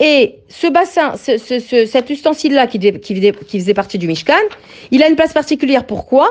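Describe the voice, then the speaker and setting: A woman's high-pitched, animated voice at a moderate pace, with very wide pitch swings and a quiet background. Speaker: Torah teacher for women. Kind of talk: religious lecture.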